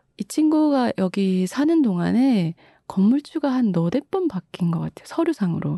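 At a moderate pace, a woman speaks in a fairly high, somewhat breathy voice with a dark, mellow tone and very wide pitch swings. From Busan, South Korea. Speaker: author and translator. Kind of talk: interview conversation.

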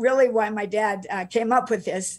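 In a plain, everyday voice with an American accent, the speaker moves at a fairly quick pace with ordinary pitch variation against a quiet background. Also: woman. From US, Utah. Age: 60s. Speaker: author. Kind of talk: interview. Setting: video call. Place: home room. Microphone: webcam.

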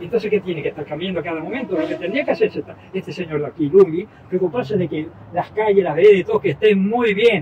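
A man's high-pitched, very fast speech with lively intonation over noticeable background noise. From Spain, Barcelona, raised in Argentina. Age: old. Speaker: retired entrepreneur, passerby interviewee. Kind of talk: street interview. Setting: outdoors on a city sidewalk.

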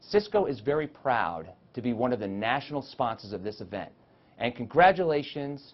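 A man's medium-pitched voice at a moderate pace, with lively intonation.

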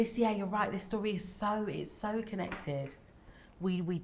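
A somewhat breathy woman's voice at a moderate pace. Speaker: theatre artist in a panel. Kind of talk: discussion answer. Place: stage.

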